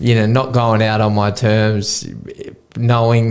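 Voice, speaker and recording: The man's voice is fairly low in pitch, and his pace is moderate. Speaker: professional boxer. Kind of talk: casual chat. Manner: slurred.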